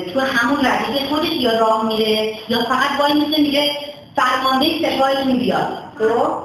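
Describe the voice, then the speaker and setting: Against noticeable background noise, a woman speaks fairly quickly at a high pitch with ordinary pitch variation. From Iran. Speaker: traditional storyteller (naqqal) and teacher. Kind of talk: coaching a child in storytelling performance.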